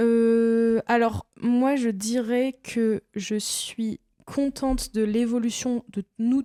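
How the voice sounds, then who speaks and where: With a dark, mellow tone and a fairly high pitch, a woman speaks at a very slow pace in a monotone, flat intonation, her loudness very even and the sound dry and close with no echo. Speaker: podcast co-host. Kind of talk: casual chat.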